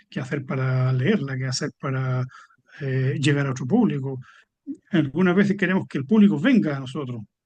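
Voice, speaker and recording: A man's fairly high, somewhat breathy voice with ordinary pitch variation. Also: moderate pace. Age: 70s. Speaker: poet. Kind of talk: interview. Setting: book fair event.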